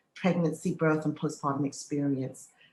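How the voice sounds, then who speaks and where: A woman is speaking. She has an English accent. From England. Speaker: midwife. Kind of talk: podcast interview.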